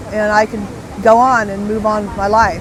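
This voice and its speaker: There is audible room echo and noticeable background noise as a woman speaks with a Californian accent. Her pace is moderate and her intonation monotone and flat. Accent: Californian American. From Southern California. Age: 60s. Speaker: retired bodyboard company founder. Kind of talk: podcast interview. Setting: outdoor beach event.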